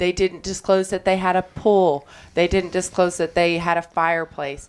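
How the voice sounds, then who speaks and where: With a Kentucky accent, a woman speaks at a moderate pace in a fairly low voice. Her intonation is monotone and flat, her loudness very even. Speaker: insurance claims attorney. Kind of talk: radio talk show interview.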